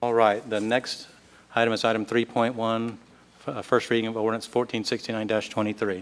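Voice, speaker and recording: A man with an American accent, very slow and monotone, his intonation flat. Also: medium pitch for a man. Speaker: council president chairing meeting. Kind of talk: public meeting. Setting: council chamber with public.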